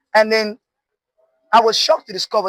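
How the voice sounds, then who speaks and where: A high-pitched man with an animated tone, in a dry, close sound with no echo. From northern Nigeria. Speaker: artist. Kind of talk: interview.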